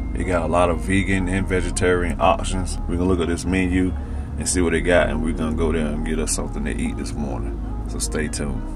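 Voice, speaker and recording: Noticeable background noise is heard throughout. A man speaks over it at a fairly quick pace. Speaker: food reviewer. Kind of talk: casual vlog chat. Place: car. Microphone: phone near.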